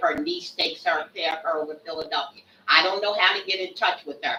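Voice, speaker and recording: There is noticeable background noise behind a woman's voice. Her pitch is fairly low and her intonation lively. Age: 70s. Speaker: resident speaking at public comment. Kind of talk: public comment at council meeting. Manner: halting.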